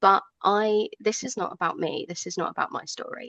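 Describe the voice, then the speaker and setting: With a southern English accent, a woman speaks in a fairly high pitch with ordinary pitch variation, the sound dry and close with no echo against a quiet background. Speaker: rally organiser, ally. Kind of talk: radio interview. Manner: hesitant, many fillers.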